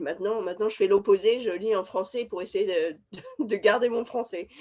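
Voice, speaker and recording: A woman is speaking at a fairly quick pace. Her pitch varies in an ordinary way. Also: medium pitch for a woman. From France, Paris region. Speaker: scientist. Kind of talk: interview. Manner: halting, many hesitations.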